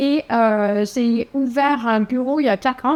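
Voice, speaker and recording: A woman speaks in a high voice with ordinary pitch variation. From Quebec City, Quebec. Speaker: architect and urban planner. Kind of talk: conference presentation. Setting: conference hall with audience.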